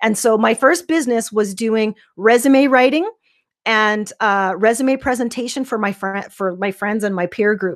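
This woman has an unremarkable speaking voice with a Canadian accent, fairly high in pitch with ordinary variation, at a moderate pace. The sound is dry and close with no echo, on a very clean recording with a silent background. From Saskatchewan, Canada. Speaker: life coach. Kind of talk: interview.

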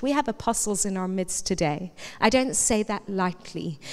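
A woman speaks at medium pitch in a normal speaking voice. The recording is very clean, with a silent background. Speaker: pastor. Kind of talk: sermon. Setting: church.

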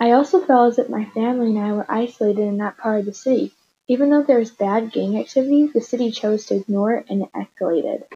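A woman with an American accent talks at a very fast pace, her tone dark and mellow and somewhat breathy. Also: ordinary pitch variation. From Chicago, South Side (Hyde Park). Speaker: guest sharing personal experience. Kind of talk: scripted interview.

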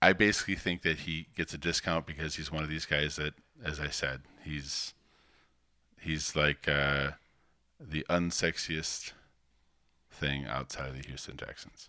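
A man's very deep, low voice with vocal fry and a bright, sharp tone, fairly even intonation, big swings in loudness, a fairly slow pace and long, frequent pauses. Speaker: fantasy football podcast co-host. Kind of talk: casual chat.

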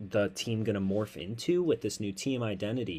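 With an American accent, a man talks in a normal speaking voice at medium pitch, his intonation lively, on a very clean recording with a silent background. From Chicago. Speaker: sports podcast host. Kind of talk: casual sports chat.

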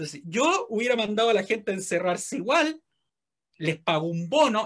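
This is a man talking. He speaks with a Chilean accent. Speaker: podcast co-host. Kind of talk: casual comedic chat.

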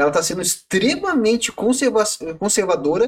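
Very wide pitch swings run through this man's speech. He keeps a moderate pace. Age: 30s. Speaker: podcast co-host, photo editor and programmer. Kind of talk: casual chat.

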